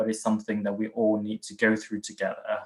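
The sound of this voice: A man talks at a fairly quick pace in a fairly low voice.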